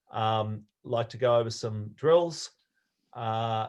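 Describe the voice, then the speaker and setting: Against a quiet background, a man with an Australian accent speaks at a medium pitch with ordinary pitch variation. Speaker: sailing coach. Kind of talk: online talk. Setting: video call. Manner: hesitant, many fillers.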